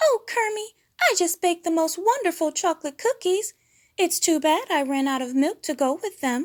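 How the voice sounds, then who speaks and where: A woman puts on a squeaky character voice at an extremely high pitch. She speaks at a moderate pace on a very clean recording with a silent background. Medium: read story. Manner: huffy, demanding.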